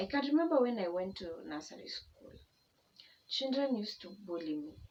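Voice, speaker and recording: At a moderate pace, a woman's somewhat breathy voice moves through very wide pitch swings. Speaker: YouTuber. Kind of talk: personal testimony vlog. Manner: casual, conversational.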